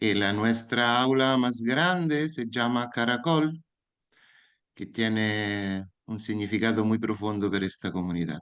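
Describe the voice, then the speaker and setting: With an Italian accent, a man talks very slowly at a medium pitch with ordinary pitch variation against a quiet background. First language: Italian (speaking Spanish). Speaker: educator. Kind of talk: lecture.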